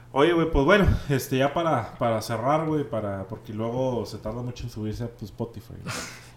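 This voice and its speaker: Over noticeable background noise, a man of medium pitch shows ordinary pitch variation and big swings in loudness. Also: moderate pace. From Monterrey, northern Mexico. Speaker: podcast host. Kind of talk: casual chat. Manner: casual, slangy, filler-heavy.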